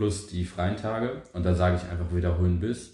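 A man's very deep, low, somewhat breathy voice. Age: 20s. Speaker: podcast co-host, power plant trainee. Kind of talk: casual chat.

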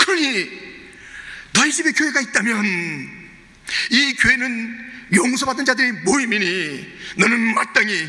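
A high-pitched man's raised, projected voice at a fairly slow pace, amid noticeable background noise. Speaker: pastor. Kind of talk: sermon. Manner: animated.

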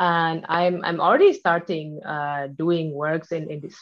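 This woman's voice is very deep and low in pitch. Her intonation remains fairly even throughout. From Indonesia. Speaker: professor. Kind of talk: conversational interview.

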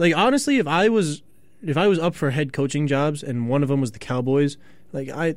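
Fairly high in pitch, a man talks at a fairly quick pace with lively intonation. It is a normal speaking voice. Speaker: college radio co-host. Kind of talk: sports talk radio. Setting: studio.

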